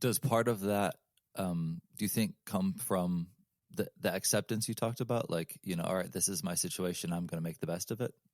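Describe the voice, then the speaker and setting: A man speaks at a fairly quick pace in a plain, everyday voice, his fairly low pitch showing ordinary pitch variation in a dry, close sound with no echo. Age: 30s. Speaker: podcast host. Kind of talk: interview.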